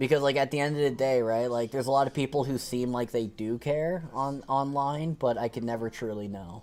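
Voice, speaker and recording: The speaker has an unremarkable speaking voice and talks at a fairly quick pace with hardly any pauses. The intonation stays fairly even. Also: man, medium pitch for a man. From Canada. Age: 20s. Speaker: video game streamer. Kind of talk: casual chat.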